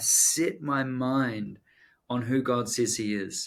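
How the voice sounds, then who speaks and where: A man speaks at a medium pitch with a New Zealand accent and fairly even intonation. The recording is very clean, with a silent background. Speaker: author and pastor. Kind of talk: podcast interview.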